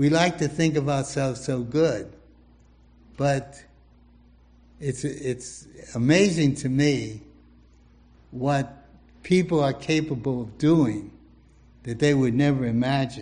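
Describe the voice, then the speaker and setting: Speaking very slowly with long, frequent pauses, a man uses a fairly high pitch with ordinary pitch variation. His tone is dark and mellow, and somewhat breathy. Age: 80s+. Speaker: pastor. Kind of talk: sermon.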